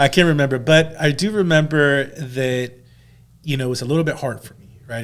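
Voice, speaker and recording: The speaker is a man with a Spanish accent. His pitch variation is ordinary. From El Salvador, then San Francisco Bay Area from age eleven. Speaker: loan officer. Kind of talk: podcast interview. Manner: casual, hesitant with many fillers.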